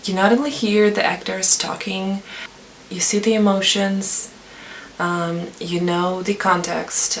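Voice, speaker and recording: A woman at medium pitch with fairly even intonation and a very slow pace, amid noticeable background noise and audible room echo. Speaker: language learning vlogger. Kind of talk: tutorial. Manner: hesitant, frequent fillers.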